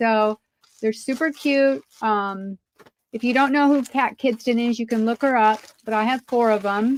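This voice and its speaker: A woman's fairly high voice at a moderate pace, with fairly even intonation and a dry, close sound with no echo. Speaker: online seller of craft supplies. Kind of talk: live sales stream. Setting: live stream. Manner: loud; hesitant, many fillers. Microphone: no echo, audible.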